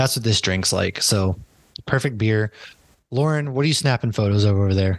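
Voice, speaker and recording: A man talks at a fairly low pitch with a normal speaking voice, at a moderate pace and with ordinary pitch variation. His loudness is very even, and the background is quiet. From Massachusetts. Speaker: podcast host. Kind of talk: casual chat.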